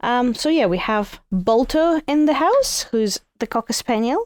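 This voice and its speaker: A woman's lively intonation in a dry, close sound with no echo and a very clean recording with a silent background. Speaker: podcast co-host. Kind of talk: casual chat. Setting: home living room. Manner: loud.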